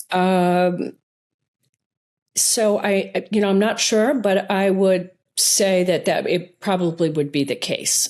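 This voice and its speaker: A woman at a very slow pace, in a very clean recording with a silent background. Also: medium pitch for a woman, fairly even intonation, very even loudness. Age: 60s. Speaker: retired eye surgeon and author. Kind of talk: interview conversation. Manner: halting, with fillers and restarts.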